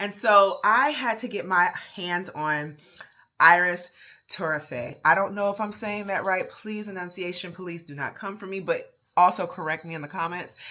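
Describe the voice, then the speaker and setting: A woman with a Baltimore accent at medium pitch and moderate pace, her tone bright, sharp and animated, with big swings in loudness, in a very clean recording over a silent background. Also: ordinary pitch variation. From Baltimore, US. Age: 30s. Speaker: fragrance YouTuber. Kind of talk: product review.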